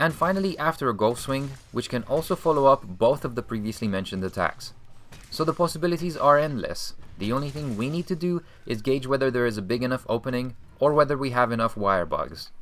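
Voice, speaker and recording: Speaking at a very fast pace, a man with a non-native accent uses lively intonation at a medium pitch. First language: not English. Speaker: video game tutorial creator. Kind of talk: game tutorial voice-over.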